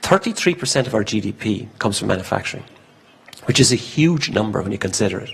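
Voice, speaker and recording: Over noticeable background noise, a man with an Irish accent talks very fast at a medium pitch, his voice swinging widely up and down. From Ireland. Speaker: conference speaker, industry committee member. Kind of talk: conference talk. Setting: stage at business forum with interpreter. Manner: speaks quickly when excited.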